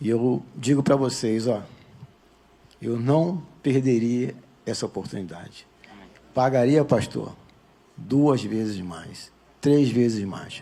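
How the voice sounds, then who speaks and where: At a very slow pace with long, frequent pauses, a man speaks at medium pitch in a dark, mellow tone. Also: ordinary pitch variation. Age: 60s. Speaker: retired military man giving church testimony. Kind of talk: testimony. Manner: animated.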